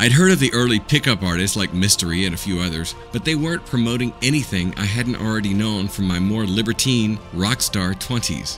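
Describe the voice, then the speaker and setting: A man with an American accent talks at a fairly quick pace with hardly any pauses, his fairly low pitch showing ordinary variation, while music plays in the background. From Southern United States. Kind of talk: audiobook narration. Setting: home recording, unedited.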